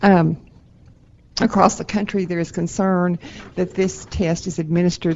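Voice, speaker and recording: Someone with a Texan accent speaks at a moderate pace. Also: woman. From Texas. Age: 70s. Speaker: advocacy group representative giving public testimony. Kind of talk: public testimony at a board meeting. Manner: halting, many fillers and repetitions.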